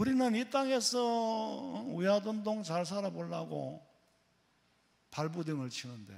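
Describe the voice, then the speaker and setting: A man in a Gyeongsang accent, with very wide pitch swings and audible room echo. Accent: Gyeongsang dialect, noticeable. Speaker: pastor. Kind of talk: sermon. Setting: church. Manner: casual, conversational with humor.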